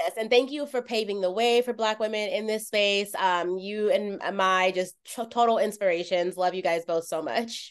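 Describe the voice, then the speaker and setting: A woman talks in a normal speaking voice at medium pitch and a moderate pace. Her pitch varies an ordinary amount, she hardly pauses, and the background is quiet. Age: 30s. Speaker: podcast host. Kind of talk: casual chat.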